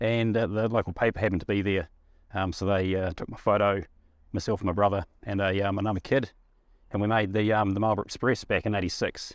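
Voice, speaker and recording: Over a quiet background, a man with a New Zealand accent talks at a very fast pace in a fairly low, monotone, flat voice. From New Zealand, Waikato and Blenheim. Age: 40s. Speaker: fan. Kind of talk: personal anecdote.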